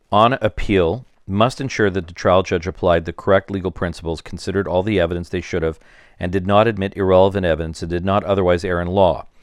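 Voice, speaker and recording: A man does a robotic, put-on character voice, very deep and low, at a very fast pace. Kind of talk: dry legal reading. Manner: fast, robotic, monotone.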